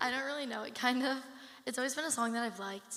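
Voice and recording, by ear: A woman uses a put-on character voice, hoarse and high in pitch. She talks at a very fast pace with fairly even intonation.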